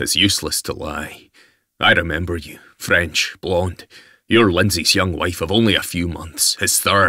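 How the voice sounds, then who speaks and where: Using a put-on character voice with a Scottish accent, a man speaks at a moderate pace with a very deep, low pitch on a very clean recording with a silent background. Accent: Scottish brogue. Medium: read story. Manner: stern, curt, self-assured.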